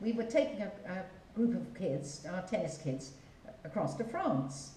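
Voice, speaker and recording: Over noticeable background noise and audible room echo, a woman speaks with very wide pitch swings. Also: medium pitch for a woman, fairly slow pace. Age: 80s+. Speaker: community fundraiser. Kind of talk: casual interview. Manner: halting.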